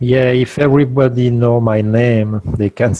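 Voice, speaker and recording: A man with a non-native accent speaks at a moderate pace and medium pitch, keeping his intonation fairly even. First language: not English. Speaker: guest speaker on free energy. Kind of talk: interview Q&A. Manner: halting.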